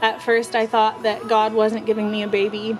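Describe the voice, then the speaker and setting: Over noticeable background noise, a woman speaks at a moderate pace in a fairly high pitch with monotone, flat intonation. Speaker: young mother vlogger. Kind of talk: personal testimony. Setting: outdoors. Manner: halting, with stutters and fillers.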